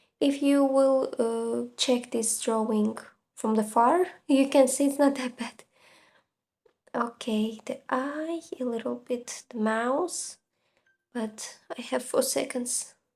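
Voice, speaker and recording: A woman with a non-native accent, high-pitched and very slow, on a very clean recording with a silent background. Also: ordinary pitch variation. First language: not English. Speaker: gaming and art content creator. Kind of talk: casual commentary while drawing. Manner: hesitant, many fillers.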